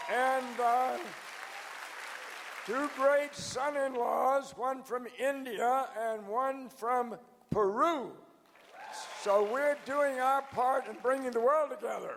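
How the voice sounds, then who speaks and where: A man with an American accent speaks at an extremely high pitch, very slowly, with fairly even intonation and long, frequent pauses. Crowd noise sits in the background, and audible room echo fills the space. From US South. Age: 90s. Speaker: organization founder. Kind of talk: anniversary address. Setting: stage with audience.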